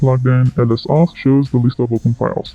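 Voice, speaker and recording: The voice sounds somewhat breathy. It moves at a fairly quick pace. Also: man. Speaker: tech tutorial youtuber. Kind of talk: tutorial. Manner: fast.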